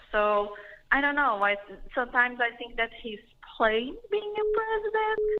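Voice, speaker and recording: A woman with a Portuguese accent speaks with ordinary pitch variation. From Brazil. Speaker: caller, immigrant. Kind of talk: call-in comment. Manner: halting.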